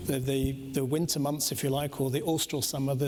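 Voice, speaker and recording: Fairly quick, fairly high-pitched man's voice with monotone, flat intonation. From Britain and Denmark. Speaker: cruise company executive. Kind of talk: panel discussion.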